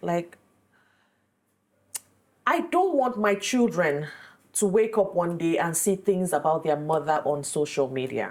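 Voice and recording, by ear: At a moderate pace, a woman speaks with lively intonation, a fairly low pitch and a slightly mellow tone.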